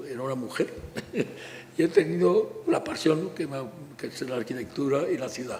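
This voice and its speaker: Amid noticeable background noise, a man speaks at a moderate pace with long, frequent pauses and big swings in loudness. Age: 90s. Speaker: architect. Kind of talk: public talk. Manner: halting.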